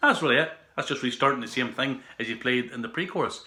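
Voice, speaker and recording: A man with an Irish accent. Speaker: guitar teacher. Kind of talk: casual guitar tutorial talk to camera.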